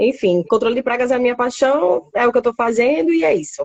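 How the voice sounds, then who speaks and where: This woman has a northeastern Brazilian accent and a high pitch. She speaks at a moderate pace. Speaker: biologist in pest control. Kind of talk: live stream interview. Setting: online live stream.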